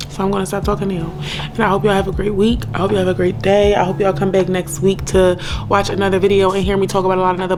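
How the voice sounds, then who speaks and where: Over noticeable background noise and audible room echo, a woman talks in an animated way at a very fast pace. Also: medium pitch for a woman. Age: 30s. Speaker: vlogger. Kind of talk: casual vlog monologue.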